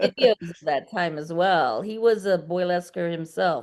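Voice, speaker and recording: A woman with an unremarkable speaking voice talks at a fairly slow pace. Her fairly low voice shows ordinary pitch variation. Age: 50s. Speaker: burlesque performer. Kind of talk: casual chat.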